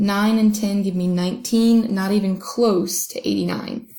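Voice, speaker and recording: Her tone dark and mellow and somewhat breathy, a woman speaks at a medium pitch with flat, monotone intonation. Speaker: math teacher. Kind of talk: tutorial. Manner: fast.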